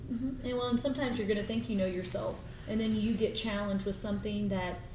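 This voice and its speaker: A woman at a medium pitch with fairly even intonation, a very fast pace, and audible room echo. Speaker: Air Force officer. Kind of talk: podcast interview. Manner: loud.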